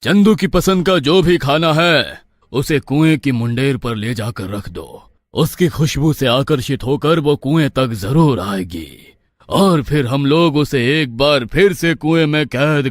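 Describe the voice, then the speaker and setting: A man's cartoonish character voice, fairly high in pitch, solemn in tone, with lively intonation at a moderate pace. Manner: solemn, commanding.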